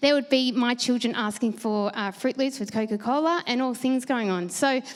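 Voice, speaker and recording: In an Australian accent, a woman speaks at a high pitch. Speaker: conference presenter. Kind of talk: panel Q&A answers; conference presentation. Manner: fast.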